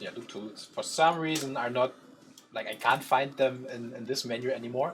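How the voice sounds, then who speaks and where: The pace is moderate. The pitch varies in an ordinary way. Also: man. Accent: strong German. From Germany. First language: German. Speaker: 3D artist, stream co-host. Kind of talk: live stream tutorial feedback.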